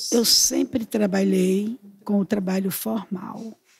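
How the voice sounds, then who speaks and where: Her delivery is at a very slow pace. The woman uses a medium pitch with monotone, flat intonation. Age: 60s. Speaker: retired teacher. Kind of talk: interview.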